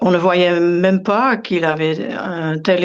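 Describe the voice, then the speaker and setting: A woman at a very slow pace over noticeable background noise. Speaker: yoga meditation teacher. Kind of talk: interview. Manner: halting, many hesitations.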